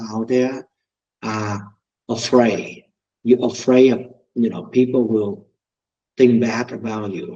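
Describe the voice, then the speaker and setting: At a fairly slow pace with long, frequent pauses, a man speaks at a medium pitch in a dark, mellow tone with fairly even intonation. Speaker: mortgage company founder and loan officer. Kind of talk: webinar presentation. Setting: video call.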